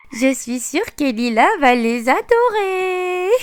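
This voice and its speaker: Delivered in a put-on character voice, this upbeat speech moves at a fairly slow pace with very wide pitch swings. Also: female-sounding voice, high pitch for a woman. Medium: audio drama. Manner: upbeat, encouraging.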